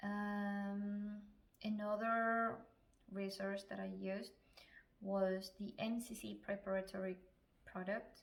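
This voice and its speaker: A woman with a Spanish accent speaks at a very slow pace, leaving long, frequent pauses. Her medium-pitched voice stays monotone and flat. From Chile. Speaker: physician. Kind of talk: advice vlog.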